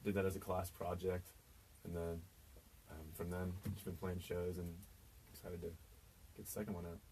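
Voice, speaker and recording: With an American accent and a very deep, low pitch, a man speaks monotone and flat at a fairly quick pace, with long, frequent pauses and audible room echo. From Kansas, US. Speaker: singer-songwriter. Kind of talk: radio interview. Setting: radio studio.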